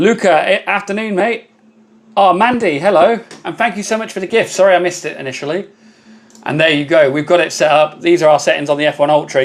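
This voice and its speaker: With a British accent, a man talks at a very fast pace. His pitch is high. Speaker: laser engraving content creator. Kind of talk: live stream tutorial with viewer chat. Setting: live stream. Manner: casual, chatty.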